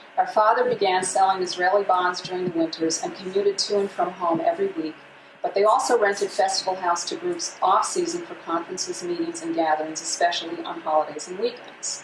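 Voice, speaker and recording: In an American accent, a woman speaks at medium pitch with lively intonation and a fairly quick pace. She takes hardly any pauses, and background noise is noticeable. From Massachusetts, Berkshires. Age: 60s. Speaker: local history speaker. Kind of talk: presentation to an audience. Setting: room with live audience. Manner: reading from notes, with hesitations.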